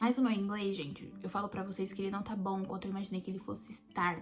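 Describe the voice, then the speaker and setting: The words come at a moderate pace. Background noise is noticeable throughout. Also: woman. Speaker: au pair vlogger. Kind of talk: casual vlog. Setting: in bed at home.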